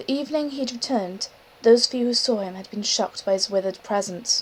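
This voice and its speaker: Noticeable background noise runs under the voice. The speaker talks at a moderate pace with ordinary pitch variation. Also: woman. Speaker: amateur audiobook reader. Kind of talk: reading aloud. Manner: halting. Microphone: poor audio quality.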